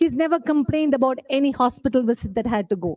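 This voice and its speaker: A woman speaks with an Indian accent. Her pace is very fast. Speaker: book author. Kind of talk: book launch speech. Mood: earnest, personal, emphatic. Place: hall. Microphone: podium.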